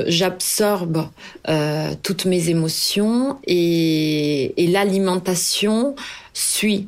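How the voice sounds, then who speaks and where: Her pitch sits at medium for a woman, with ordinary pitch variation. She speaks at a very slow pace. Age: 30s. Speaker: cookbook author. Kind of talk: personal testimony. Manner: halting.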